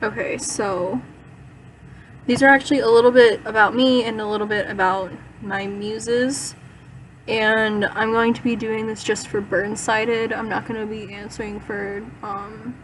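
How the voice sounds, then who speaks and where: Against noticeable background noise, a woman talks in a monotone, flat intonation. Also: moderate pace. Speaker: vlogger answering fan questions. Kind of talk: casual vlog. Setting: in bed in dark bedroom. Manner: hesitant, many fillers.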